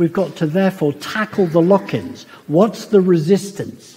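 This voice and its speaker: His pitch high for a man, he speaks fairly slowly with ordinary pitch variation while noticeable background noise plays. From India, then Britain. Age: 70s. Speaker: professor. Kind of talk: public lecture. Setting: lecture hall with audience. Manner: animated.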